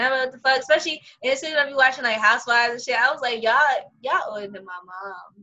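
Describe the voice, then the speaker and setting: Talking at a very fast pace in a strong New York accent, a woman with a high pitch and ordinary pitch variation shows big swings in loudness. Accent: New York, heavy. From Brooklyn, New York. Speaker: podcast host. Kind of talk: casual chat, podcast interview. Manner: casual, slangy.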